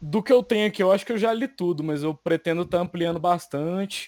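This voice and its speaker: In a very clean recording with a silent background, dry and close with no echo, a man speaks at a high pitch with ordinary pitch variation. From Brazil, rural Minas Gerais. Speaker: manga Instagram creator. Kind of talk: casual chat.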